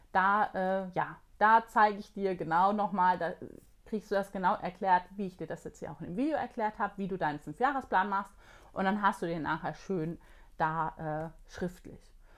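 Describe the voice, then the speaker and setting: In an ordinary speaking voice, a woman at medium pitch talks at a moderate pace with ordinary pitch variation and big swings in loudness, over a quiet background. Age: 40s. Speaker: productivity coach and online course creator. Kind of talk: vlog-style tutorial.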